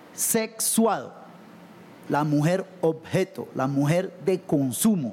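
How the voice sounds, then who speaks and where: The speech comes at a very slow pace with lively intonation. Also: man, high pitch for a man. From Colombia, Buenaventura (Pacific coast). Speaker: salsa singer. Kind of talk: panel discussion.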